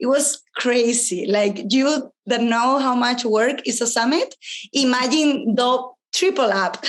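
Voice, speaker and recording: Speaking at a fairly slow pace with a non-native accent, the woman keeps her loudness very even, her high pitch moving with ordinary variation. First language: Spanish. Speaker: astrologer and entrepreneur. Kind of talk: interview conversation. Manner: spontaneous.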